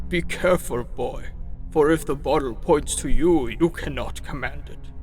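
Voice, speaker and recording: Over clear background noise, the speaker performs in a put-on character voice. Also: man, fairly high pitch for a man, moderate pace, big swings in loudness. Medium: read story. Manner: sly, coaxing.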